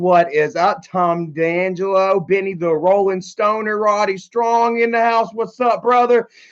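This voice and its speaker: A man speaks at a fairly slow pace in a high voice with ordinary pitch variation. The background is quiet. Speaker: livestreamer. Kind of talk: casual live stream chat. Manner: stuttering.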